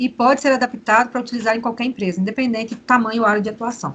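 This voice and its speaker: A woman at a fairly high pitch, talking at a very fast pace with fairly even intonation. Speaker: mining company employee giving a presentation. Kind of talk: presentation.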